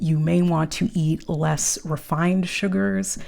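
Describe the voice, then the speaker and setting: A woman's fairly low, dark and mellow voice with an American accent, at a fairly slow pace. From New York City, Harlem. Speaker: nutrition coach. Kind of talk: casual talk to camera. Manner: animated.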